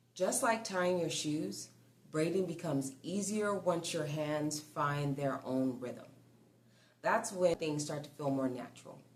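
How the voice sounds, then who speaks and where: Calm in tone yet lively in intonation, a woman with a very deep, low pitch speaks at a fairly slow pace amid audible room echo. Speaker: braiding instructor. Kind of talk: tutorial.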